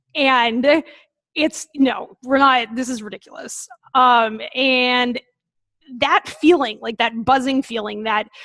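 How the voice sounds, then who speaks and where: The voice has a bright, sharp tone, a very slow pace and ordinary pitch variation. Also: woman. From New England. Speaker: veterinarian and food safety consultant. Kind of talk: webinar presentation. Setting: online webinar.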